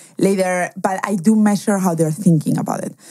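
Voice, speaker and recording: Fairly quick and fairly even in intonation, a woman speaks with a Spanish accent in a dark, mellow tone. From Spain, schooled partly in Germany. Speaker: angel investor. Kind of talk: interview.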